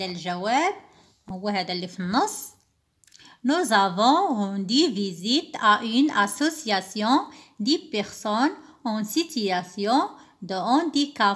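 On a very clean recording with a silent background, a woman speaks at a fairly high pitch with very wide pitch swings. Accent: Moroccan. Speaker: teacher. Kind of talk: tutorial.

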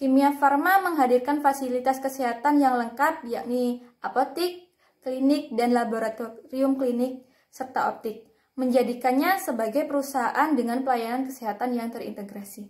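A woman speaks at a moderate pace in a high voice. Her pitch varies in an ordinary way against a quiet background. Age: 20s. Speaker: job applicant, chemistry graduate. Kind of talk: self-introduction video, prepared speech. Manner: formal. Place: home room. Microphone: phone near.

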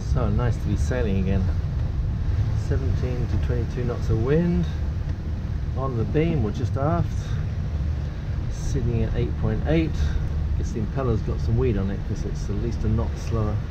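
Loud background noise surrounds a man who speaks at a moderate pace with long, frequent pauses. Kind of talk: casual vlog chat. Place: boat. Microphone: camera far.

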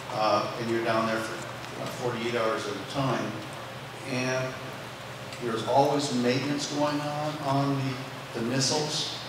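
Strong room echo and noticeable background noise surround a man speaking at a very slow pace. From North Dakota. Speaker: retired missile launch officer. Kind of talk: panel discussion. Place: stage.

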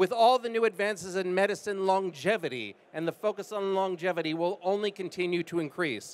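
A high-pitched man with an American accent, going at a fairly quick pace with hardly any pauses. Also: ordinary pitch variation. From United States. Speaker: life science investor. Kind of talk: panel discussion. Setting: stage with audience. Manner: fluent, polished. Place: stage. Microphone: handheld.

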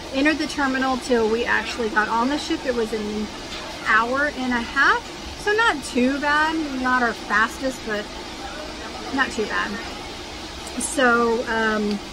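Over noticeable background noise, a woman speaks at a fairly slow pace with long, frequent pauses and ordinary pitch variation. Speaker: cruise vlogger. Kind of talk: casual vlog chat. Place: cafe. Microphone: phone near.

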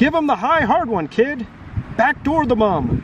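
A man shouts in a put-on character voice at an extremely high pitch, with big pitch swings. His pace is fairly slow, and there is faint background noise.

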